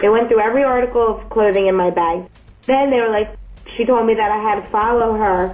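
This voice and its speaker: Over noticeable background noise, someone with an American accent talks at a fairly quick pace with fairly even intonation. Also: woman, fairly high pitch for a woman. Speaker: new wife on honeymoon, co-speaker. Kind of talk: casual chat. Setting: hotel room in Dubai.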